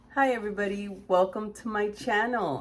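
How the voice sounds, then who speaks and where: Over noticeable background noise, a woman talks at a moderate pace in a medium pitch. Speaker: makeup content creator. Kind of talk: casual makeup tutorial talk to camera. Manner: casual, chatty.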